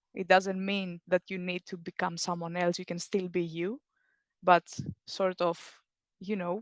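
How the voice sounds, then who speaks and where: A woman's medium-pitched, monotone voice with flat intonation at a moderate pace, in a dry, close sound with no echo against a quiet background. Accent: non-native. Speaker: alumni panelist. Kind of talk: panel discussion.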